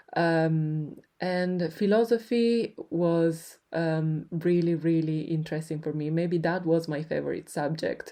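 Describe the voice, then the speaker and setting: Against a quiet background, a woman with an Italian accent speaks very slowly in a fairly low pitch, her tone dark and mellow and her intonation fairly even. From Italy, Turin. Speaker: podcast host. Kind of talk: personal storytelling. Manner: hesitant, many fillers.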